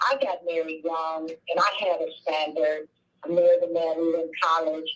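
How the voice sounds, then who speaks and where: This is an ordinary speaking voice with ordinary pitch variation. The pace is fairly slow. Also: woman. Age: 60s. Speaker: caller. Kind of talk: call-in comment.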